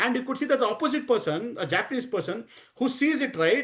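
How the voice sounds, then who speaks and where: A man with an Indian accent talks at a very fast pace using lively intonation. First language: Hindi. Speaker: DevOps trainer. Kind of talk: lecture. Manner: halting, many fillers.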